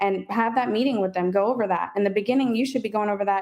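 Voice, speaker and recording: An American accent marks this woman's speech, which sits at a medium pitch with fairly even intonation. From US South, New Orleans (West Bank). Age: 20s. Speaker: HVAC business owner. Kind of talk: podcast interview. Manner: fast.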